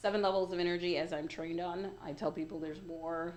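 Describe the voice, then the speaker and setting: Talking at a fairly quick pace, a woman uses a fairly low pitch and fairly even intonation. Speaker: life coach. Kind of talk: interview. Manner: fast.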